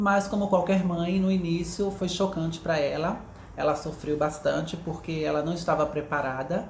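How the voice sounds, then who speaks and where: Audible room echo surrounds a woman speaking at a moderate pace, her fairly low pitch held in fairly even intonation. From Pernambuco, Brazil. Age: 30s. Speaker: interviewee, HR recruiter. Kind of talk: interview testimony.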